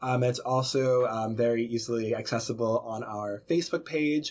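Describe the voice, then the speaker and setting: With an American accent and a plain, everyday voice, a man talks at a fairly quick pace and a medium pitch. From Boston, Massachusetts. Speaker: college a cappella singer. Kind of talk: interview.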